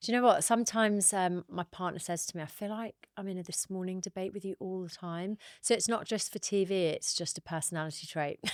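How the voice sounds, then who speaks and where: Speaking at a very fast pace, a woman with a medium pitch and ordinary pitch variation is heard in a dry, close sound with no echo. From northern England, Northumberland / Newcastle. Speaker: TV broadcaster and writer. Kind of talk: casual chat.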